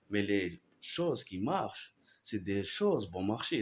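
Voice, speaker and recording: A man with an Arabic accent at a very slow pace, on a very clean recording with a silent background. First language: Arabic (speaking French). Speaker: philosophy YouTuber. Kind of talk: casual explanatory talk. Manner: halting, many repetitions and fillers.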